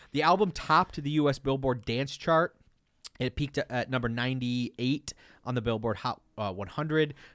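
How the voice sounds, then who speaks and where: An unremarkable speaking voice, a man with an American accent at medium pitch, with ordinary pitch variation and a fairly slow pace, on a very clean recording with a silent background. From Detroit, Michigan. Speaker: podcast host. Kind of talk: scripted narration; casual chat.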